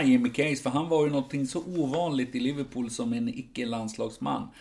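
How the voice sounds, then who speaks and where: A man talks at a fairly quick pace in an unremarkable speaking voice. His pitch sits fairly high for a man, with ordinary pitch variation. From Sweden. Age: 50s. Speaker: football supporters club editor. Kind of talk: casual chat.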